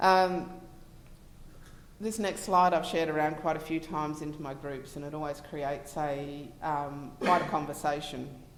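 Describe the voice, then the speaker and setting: A woman with an Australian accent talks at a moderate pace in a very deep, low pitch, her intonation fairly even. Her loudness swings widely, and audible room echo is present. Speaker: relationship coach. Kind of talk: conference presentation. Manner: hesitant, many fillers.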